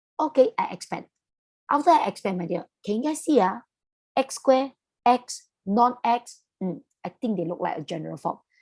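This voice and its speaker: At a moderate pace, a woman with a Malaysian accent and a high pitch speaks with very wide pitch swings, big swings in loudness and long, frequent pauses, in a dry, close sound with no echo. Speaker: maths tutor. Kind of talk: online lesson, teaching to students. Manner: casual, chatty.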